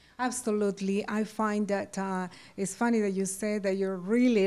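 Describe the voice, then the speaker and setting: A woman's medium-pitched, dark, mellow voice with a Spanish accent. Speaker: TV interviewer. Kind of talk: interview. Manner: code-switches Spanish and English. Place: home room. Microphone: handheld.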